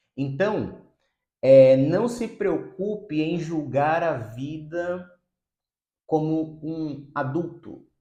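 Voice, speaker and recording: A man's fairly high voice with lively intonation and audible room echo. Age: 30s. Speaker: psychotherapist. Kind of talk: video monologue.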